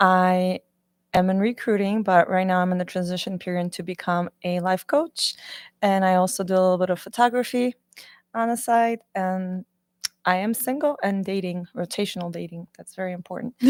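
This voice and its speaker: An ordinary speaking voice from a woman, medium in pitch with ordinary variation, at a moderate pace, dry and close with no echo. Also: very clean recording, silent background. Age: 30s. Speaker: podcast panelist, recruiter. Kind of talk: casual chat. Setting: podcast studio with live panel.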